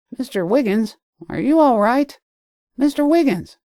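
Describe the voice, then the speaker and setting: Using a put-on character voice, a man speaks at an extremely high pitch with lively intonation. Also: moderate pace. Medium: read story. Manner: brisk, insistent.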